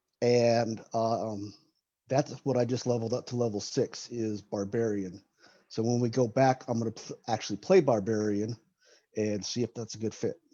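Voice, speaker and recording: This man has a medium-pitched voice with a dark, mellow tone and talks at a moderate pace. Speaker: guest, live-action role-play gamer. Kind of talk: casual interview chat. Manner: halting.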